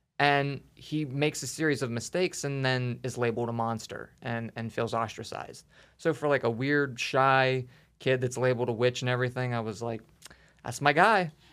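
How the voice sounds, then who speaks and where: A man in a plain, everyday voice with an American accent, medium in pitch, at a moderate pace with fairly even intonation. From western Pennsylvania, Pittsburgh area. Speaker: special effects artist. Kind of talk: casual interview.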